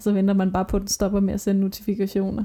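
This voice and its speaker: Speaking at a very fast pace, a woman with a medium pitch has a dark, mellow tone and sounds somewhat breathy. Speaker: podcast co-host. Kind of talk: casual chat. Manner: ironic, dry delivery.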